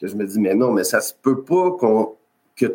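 A man talks at a moderate pace. He has a Quebec accent. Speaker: health and safety consultant. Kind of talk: interview. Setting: video call.

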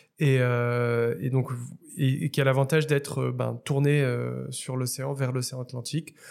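A man's monotone, flat delivery at a medium pitch and moderate pace. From Morocco, Casablanca. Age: 30s. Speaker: startup founder. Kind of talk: interview. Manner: halting, many repetitions and fillers.

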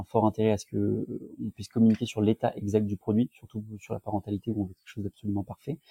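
A man with a medium pitch and a dark, mellow tone, monotone, flat intonation, a fairly quick pace, and a dry, close sound with no echo. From southern France, near Nice. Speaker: startup founder. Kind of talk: casual interview.

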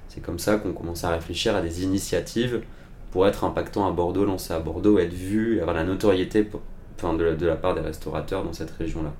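A man with a very deep, low pitch talks at a very fast pace. His intonation stays fairly even. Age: 30s. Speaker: marketing consultant, part-time CMO. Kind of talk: interview. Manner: hesitant, with fillers.

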